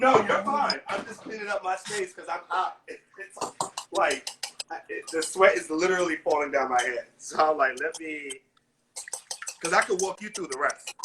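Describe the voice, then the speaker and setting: A man's raised, projected voice, high pitch and lively intonation at a moderate pace, with big swings in loudness. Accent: American. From New York City. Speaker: celebrity chef. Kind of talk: live baking tutorial. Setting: home kitchen, live video stream.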